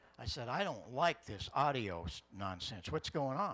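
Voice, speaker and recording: At a moderate pace, a man speaks with vocal fry. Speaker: audio engineer and ham radio presenter. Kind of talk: technical presentation. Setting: stage with audience. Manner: animated.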